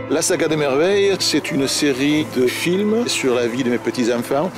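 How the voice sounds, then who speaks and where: With music in the background, the voice shows ordinary variation in pitch. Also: man. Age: 60s. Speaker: retired amateur filmmaker, grandfather. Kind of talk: interview testimony. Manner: halting, repeats words.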